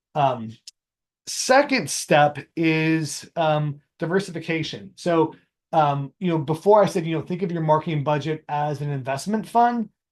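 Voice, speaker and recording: With a plain, everyday voice, a man talks at a fairly slow pace, his fairly high pitch showing ordinary pitch variation. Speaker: marketing strategist and teacher. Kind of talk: webinar presentation. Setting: video call with screen share. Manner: casual with many fillers.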